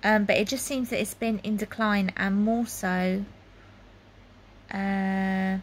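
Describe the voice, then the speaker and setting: Somewhat breathy and at a medium pitch, a woman speaks at a very slow pace in a monotone, flat intonation, with long, frequent pauses. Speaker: health vlogger. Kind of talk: casual personal vlog monologue. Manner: hesitant, many fillers.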